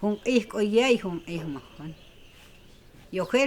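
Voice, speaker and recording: The woman speaks at a very slow pace. Her intonation is lively. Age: 80s+. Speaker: elderly villager telling her life story. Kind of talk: documentary interview, life story.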